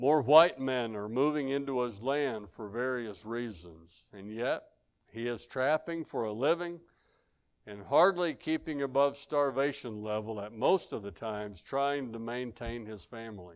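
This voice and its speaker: A man with a Southern US accent talks at medium pitch and a fairly slow pace, with ordinary pitch variation. His loudness swings widely, on a very clean recording with a silent background. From Arkansas. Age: 50s. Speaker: pastor. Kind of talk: sermon. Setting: church.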